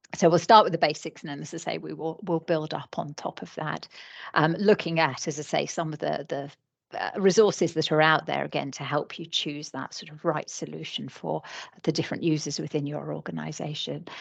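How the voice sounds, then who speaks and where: Speaking with a British accent, a woman moves along at a fairly quick pace. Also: big swings in loudness. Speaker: licensing trainer. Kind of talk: webinar training presentation. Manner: hesitant, many fillers.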